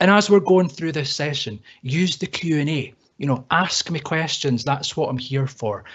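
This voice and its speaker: A man with a Scottish accent talks at a moderate pace with ordinary pitch variation. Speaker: IT trainer. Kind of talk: webinar tutorial. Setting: online webinar. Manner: casual, repeats words.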